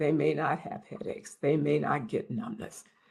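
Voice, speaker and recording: Here is a woman with a very deep, low pitch. Vocal fry runs through her speech. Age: 70s. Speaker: health expert speaker. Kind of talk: webinar talk. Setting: online webinar.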